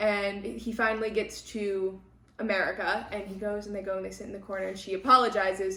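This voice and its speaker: Audible room echo and noticeable background noise accompany a woman speaking at a medium pitch and moderate pace in an animated tone. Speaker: book podcast host. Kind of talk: casual chat. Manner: loud.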